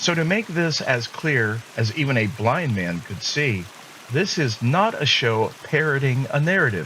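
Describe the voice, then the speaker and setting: Through noticeable background noise, a man with a fairly high pitch speaks at a fairly slow pace, his pitch swinging very widely. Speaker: podcast host. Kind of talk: monologue. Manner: deliberate.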